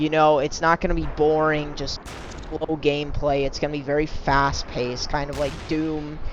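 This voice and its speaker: With noticeable background noise behind him, a man with a fairly high pitch speaks at a moderate pace in a monotone, flat intonation. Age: young. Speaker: amateur game modder. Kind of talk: casual gameplay walkthrough. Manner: casual, hesitant with fillers.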